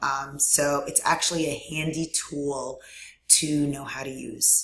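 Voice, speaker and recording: In a room with audible echo, a woman talks at a very deep, low pitch. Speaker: online course instructor. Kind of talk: recorded tutorial. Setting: screen recording with webcam. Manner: frequent fillers (um).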